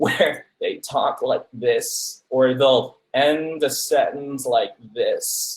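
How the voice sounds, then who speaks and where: In a put-on character voice, a man talks at a very slow pace with a croaky sound. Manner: sentence endings trailing off croakily.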